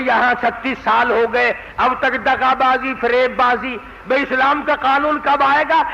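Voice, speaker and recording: Noticeable background noise sits behind a man whose pitch is extremely high. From Pakistan. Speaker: Islamic preacher. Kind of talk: religious sermon. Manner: soothing.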